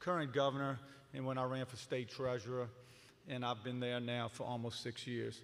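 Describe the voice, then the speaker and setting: A man's medium-pitched voice with monotone, flat intonation and audible room echo. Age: 60s. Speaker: politician. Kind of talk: political forum speech. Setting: stage with audience.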